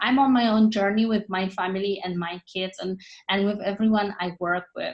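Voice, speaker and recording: Somewhat breathy speech in a non-native accent moves at a moderate pace with fairly even intonation. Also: woman. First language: not English. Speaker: network marketing team leader. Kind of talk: motivational team training talk.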